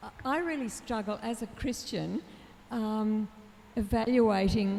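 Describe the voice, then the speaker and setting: In a fairly high pitch, a woman speaks at a very slow pace with ordinary pitch variation. Her tone is dark, mellow and somewhat breathy. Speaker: audience member, former palliative care nurse. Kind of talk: audience question. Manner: hesitant, repeated words.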